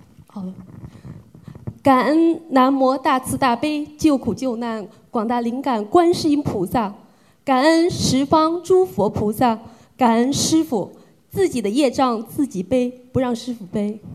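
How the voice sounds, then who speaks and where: High pitch from a woman at a very slow pace. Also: lively intonation. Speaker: event emcee. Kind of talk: formal announcement.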